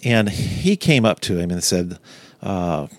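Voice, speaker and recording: A man in a Louisiana accent, with lively intonation. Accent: Louisiana Southern US. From Louisiana, Baton Rouge. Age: 60s. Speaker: museum director. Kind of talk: interview. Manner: halting.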